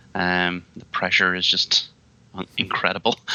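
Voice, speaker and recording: A man with an Irish accent speaks at a very deep, low pitch. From Ireland, Midlands. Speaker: IT consultant and technical pre-sales lead. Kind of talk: podcast interview. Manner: casual with many fillers.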